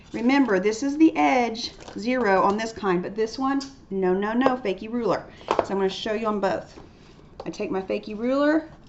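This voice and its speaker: A woman speaks at a fairly high pitch with ordinary pitch variation. Noticeable background noise sits behind her. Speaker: art teacher. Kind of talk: tutorial. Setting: recorded video lesson. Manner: fast.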